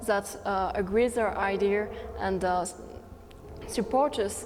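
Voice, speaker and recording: A woman speaks in a French accent at medium pitch and a moderate pace. Her intonation is fairly even, and the room echo is audible. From France. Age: 18. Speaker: student youth activist. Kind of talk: interview. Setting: conference. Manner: hesitant.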